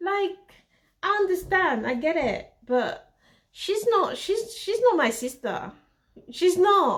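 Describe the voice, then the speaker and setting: A woman with a non-native accent speaks at a very slow pace with long, frequent pauses. Her extremely high voice makes very wide pitch swings. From Central Africa (Congo/Cameroon roots). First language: not English. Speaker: fashion designer and vlogger. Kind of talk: casual storytelling vlog. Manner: hesitant, self-correcting.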